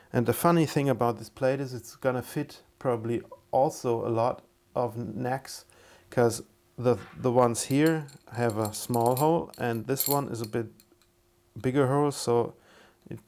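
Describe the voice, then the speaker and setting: Speaking fairly slowly with a non-native accent, a man at medium pitch keeps his intonation fairly even and leaves long, frequent pauses. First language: not English. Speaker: guitar builder YouTuber. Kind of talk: casual tutorial. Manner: halting, with many fillers and repeats.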